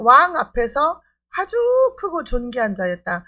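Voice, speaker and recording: A bright, sharp tone at a very slow pace, on a very clean recording with a silent background. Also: woman. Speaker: pastor. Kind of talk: sermon. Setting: church service.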